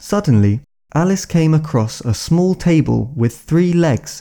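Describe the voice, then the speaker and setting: Fairly high in pitch, a man speaks slowly-ish at a fairly slow pace with a dark, mellow tone and lively intonation. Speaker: podcast host and audiobook narrator. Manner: clear, measured, slow pace for learners, with mild expressiveness for dialogue.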